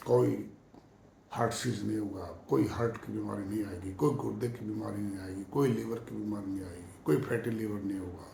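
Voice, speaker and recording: A man is speaking. Audible room echo and noticeable background noise can be heard. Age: 60s. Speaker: yoga practitioner sharing health advice. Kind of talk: monologue talk to camera.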